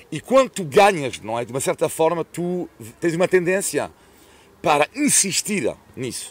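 The sound is dry and close, with no echo. A man talks at a moderate pace with lively intonation. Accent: French. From France. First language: French (speaking Portuguese). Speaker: sports commentator. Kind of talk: casual chat.

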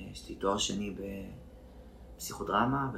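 With vocal fry and a fairly low pitch, a man's voice makes very wide pitch swings against audible room echo. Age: 30s. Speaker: actor and therapist. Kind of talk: casual interview.

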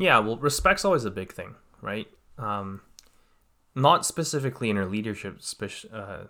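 Talking at a fairly quick pace with a Canadian accent, a man has a fairly low pitch and a bright, sharp tone in a very clean recording with a silent background. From Canada, Greater Vancouver area. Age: 20s. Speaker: cadet program instructor. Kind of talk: casual interview.

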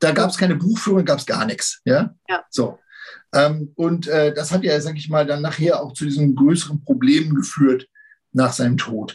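Ordinary pitch variation in a man's fairly high, somewhat breathy voice, moving at a moderate pace. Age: 50s. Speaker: Pilates teacher and history enthusiast. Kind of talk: casual chat.

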